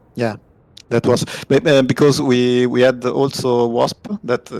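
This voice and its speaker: A man speaks with an Italian accent. The sound is dry and close with no echo, though background noise is noticeable. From Italy. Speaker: team pilot. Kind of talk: post-match interview. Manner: halting.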